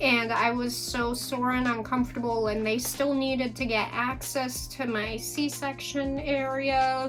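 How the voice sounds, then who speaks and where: Over music in the background, a woman with a high pitch speaks very slowly in a monotone, flat intonation. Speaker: new mother. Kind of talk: casual talk to camera.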